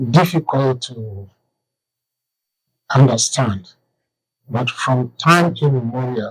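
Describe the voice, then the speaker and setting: Somewhat breathy and at medium pitch, a man speaks at a very slow pace. Long, frequent pauses break up his speech, and his pitch varies in an ordinary way. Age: 80s+. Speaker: author and historian. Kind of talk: interview answer.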